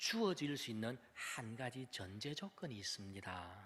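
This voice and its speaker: A man's voice with very wide pitch swings. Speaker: pastor. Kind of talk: sermon. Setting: church with PA system. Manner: deliberately lowered volume.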